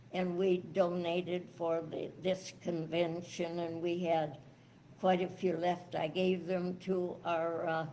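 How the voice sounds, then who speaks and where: With an American accent, a woman speaks very slowly in a fairly low pitch and a monotone, flat intonation. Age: 90s. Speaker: sweepstakes contest winner. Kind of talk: interview answer. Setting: live convention interview.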